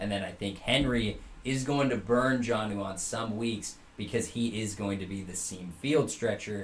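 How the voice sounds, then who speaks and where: A man speaks in a somewhat breathy voice with ordinary pitch variation, and room echo can be heard. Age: 20s. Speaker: fantasy football podcast co-host. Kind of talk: casual chat.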